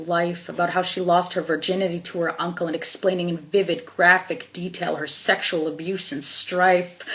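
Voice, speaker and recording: A woman speaks at a moderate pace in a fairly low pitch with monotone, flat intonation and an intense tone. Noticeable background noise runs underneath. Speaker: spoken word poet, activist. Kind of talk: spoken word poetry performance. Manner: emotional, intense.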